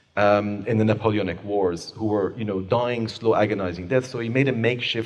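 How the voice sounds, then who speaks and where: Speaking at a fairly quick pace, a man with a slight Persian accent uses fairly low pitch and fairly even intonation. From Iran. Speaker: author and human rights lawyer. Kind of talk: book talk Q&A. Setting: book club event with audience. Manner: fluent, polished.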